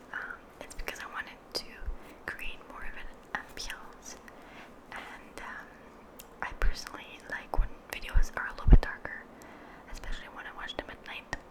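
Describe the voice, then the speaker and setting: Whispering at a moderate pace, the voice comes through over noticeable background noise. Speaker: ASMR creator. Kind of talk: casual talk to camera. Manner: whispered.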